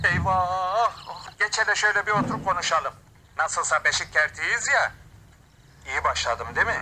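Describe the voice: Using a put-on character voice, a man talks at a moderate pace in a high pitch with a bright, sharp tone. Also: ordinary pitch variation.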